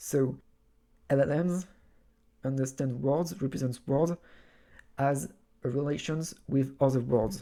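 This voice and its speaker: The speaker talks at a fairly slow pace with a French accent. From France. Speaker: video essayist. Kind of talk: monologue essay. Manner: halting.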